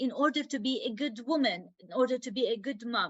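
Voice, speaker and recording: With a non-native accent, this speaker delivers the words at a moderate speed. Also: woman. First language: not English. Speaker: women's health advocate. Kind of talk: podcast interview. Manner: halting.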